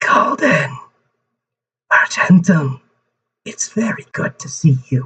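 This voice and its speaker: A put-on character voice at a middle pitch shouts at a fairly slow pace, with long, frequent pauses. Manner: straining as if shouting across a great distance.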